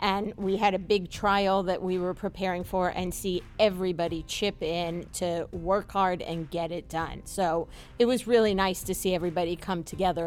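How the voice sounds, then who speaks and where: Monotone, flat intonation with a slight New York accent, on a very clean recording with a silent background. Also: woman. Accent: faint New York, in certain words. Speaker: family law attorney and mediator. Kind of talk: casual radio chat, interview.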